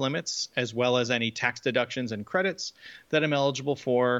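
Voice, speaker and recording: In an ordinary speaking voice, a man with an American accent talks at a fairly quick pace. His pitch is medium with ordinary variation, and the background is quiet. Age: 40s. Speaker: early retiree, podcast co-host. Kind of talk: casual chat.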